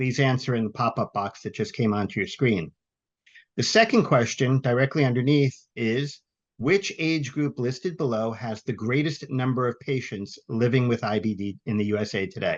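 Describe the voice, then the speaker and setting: A man of medium pitch uses a normal speaking voice at a moderate pace, with ordinary pitch variation and a quiet background. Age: 60s. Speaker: webinar moderator and patient volunteer. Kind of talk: webinar hosting. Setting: virtual webinar.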